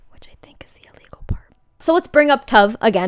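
A woman talks at medium speed, and the background is quiet. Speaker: content creator. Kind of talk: commentary video essay. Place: home room.

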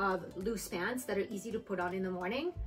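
Faint music plays behind a woman speaking at a moderate pace. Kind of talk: tutorial. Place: home room. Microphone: camera far.

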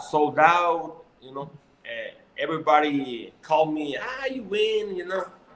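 Speaking with a Mexican accent, a man keeps a fairly slow pace. Audible room echo and light background noise are present. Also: big swings in loudness. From Mexico. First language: Spanish. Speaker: professional boxer. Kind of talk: interview. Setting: video call. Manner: halting. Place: home room. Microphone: video call.

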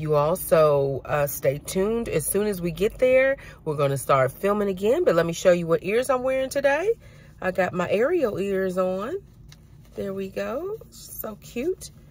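A woman's voice swings very widely in pitch, recorded dry with no echo. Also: moderate pace. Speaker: vlogger. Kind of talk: casual vlog chat. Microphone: phone near.

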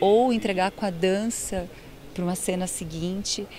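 A woman's fairly even intonation, with a dry sound, no echo, and light background noise. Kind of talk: interview answer. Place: stage. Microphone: handheld.

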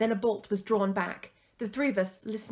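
The intonation is fairly even. It comes from an unforced reading voice.

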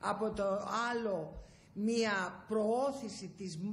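This voice is somewhat breathy. It belongs to a woman. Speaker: politician guest. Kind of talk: interview answer. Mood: serious, earnest. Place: office. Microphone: handheld.

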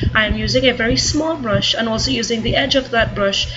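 There is music behind this recording. The voice belongs to a woman. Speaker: makeup artist. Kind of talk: makeup tutorial voice-over.

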